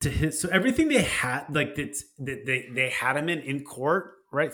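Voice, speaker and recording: A man speaks at a moderate pace with a fairly high pitch and ordinary variation. Vocal fry runs through his voice. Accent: American. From Texas. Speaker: podcast co-host. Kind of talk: casual chat.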